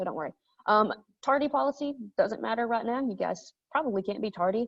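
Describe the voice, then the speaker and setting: Her intonation is lively. This woman's voice also carries vocal fry. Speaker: high school history teacher. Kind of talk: class orientation talk. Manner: fast; casual with many fillers.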